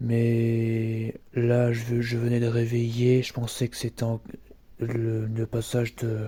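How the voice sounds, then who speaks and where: This man talks at a very slow pace with a flat, monotone delivery. His medium-pitched voice has a dark, mellow tone. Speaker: amateur radio vlogger. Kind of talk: casual monologue. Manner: halting; soft-spoken.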